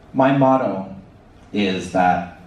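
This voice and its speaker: With a Canadian accent and lively intonation, a man talks amid audible room echo. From Canada. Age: 30s. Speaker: ostomy patient speaker. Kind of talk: conference presentation. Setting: stage with audience. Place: hall. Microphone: pa.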